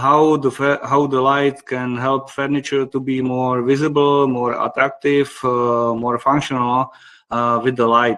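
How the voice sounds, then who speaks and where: In a Czech accent, a man speaks at medium pitch with monotone, flat intonation. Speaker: company managing director presenting a webinar. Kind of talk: webinar presentation. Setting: online webinar. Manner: halting, many fillers.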